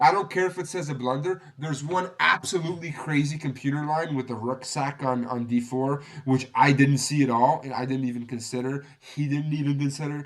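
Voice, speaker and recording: Talking at a fairly quick pace, a man barely pauses. His fairly high voice keeps a fairly even intonation. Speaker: chess content creator. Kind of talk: game analysis tutorial. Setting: home recording, unstable internet. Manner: fast; casual, with fillers.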